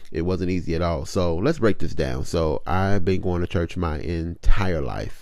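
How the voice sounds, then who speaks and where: Very deep, low pitch from a man, with vocal fry, ordinary pitch variation, a moderate pace and hardly any pauses. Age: 30s. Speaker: podcast host. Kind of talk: casual personal testimony.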